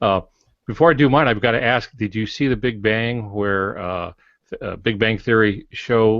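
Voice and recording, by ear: Fairly low in pitch, a man talks with ordinary pitch variation.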